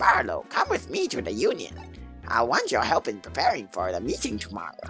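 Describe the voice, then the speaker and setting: A man performs in a put-on character voice at a fairly quick pace. Clear music plays in the background. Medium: game stream. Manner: formal, authoritative.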